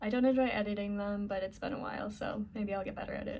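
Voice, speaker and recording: A woman at a very fast pace, with audible room echo. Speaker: vlogger. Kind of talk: casual chat. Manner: halting.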